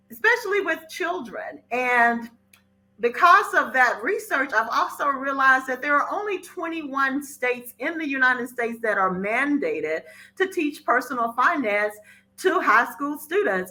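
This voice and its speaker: Speaking at a moderate pace in a raised, projected voice, a woman with an American accent uses a high pitch, very wide pitch swings and a bright, sharp tone. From Mississippi, US South. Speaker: podcast host and financial educator. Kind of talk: casual podcast monologue.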